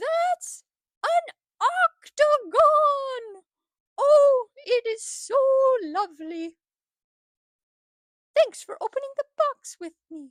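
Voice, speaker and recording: A woman's cartoonish character voice, extremely high in pitch, at a very slow pace with long, frequent pauses. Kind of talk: children's educational puppet show. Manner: upbeat, playful.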